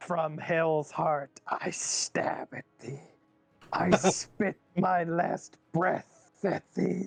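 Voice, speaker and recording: In a put-on character voice at a middle pitch, the speaker goes at a very slow pace. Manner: dramatic, defiant, theatrical last words.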